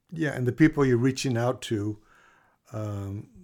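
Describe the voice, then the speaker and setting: On a very clean recording with a silent background, a man speaks at medium pitch. His tone is dark and mellow, and somewhat breathy. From raised in Latin America as missionary child. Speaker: church member, physician, former pastor. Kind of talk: interview storytelling.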